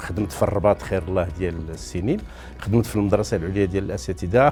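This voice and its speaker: This man's voice sits very deep and low. He talks at a fairly slow pace. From Morocco, Middle Atlas (Midelt). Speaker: retired professor. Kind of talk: interview testimony.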